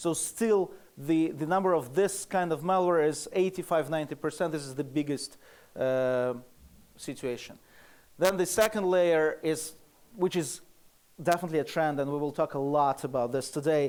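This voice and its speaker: A man with a Russian accent speaks at a fairly high pitch with ordinary pitch variation. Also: moderate pace. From Russia (Moscow). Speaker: security researcher, conference speaker. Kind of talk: conference presentation. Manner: halting, many fillers.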